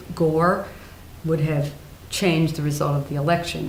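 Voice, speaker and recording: With noticeable background noise and audible room echo, a woman speaks at a very deep, low pitch in monotone, flat intonation. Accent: American. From New Jersey, US Northeast. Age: 70s. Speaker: retired judge. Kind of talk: oral history interview.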